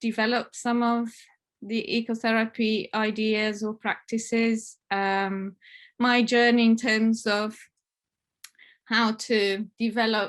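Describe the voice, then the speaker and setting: Over a quiet background, a woman with a fairly high pitch speaks very slowly in a monotone, flat way. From northern Italy, Alps. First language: Italian. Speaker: family therapist. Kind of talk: conference talk. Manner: halting, many fillers.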